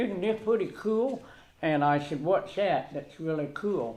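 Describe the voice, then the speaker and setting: Lively intonation marks this man's fairly slow delivery. Audible room echo surrounds his voice. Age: 60s. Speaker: resident speaking at public comment. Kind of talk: public comment at council meeting. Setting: town council meeting room. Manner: halting, many fillers and repetitions.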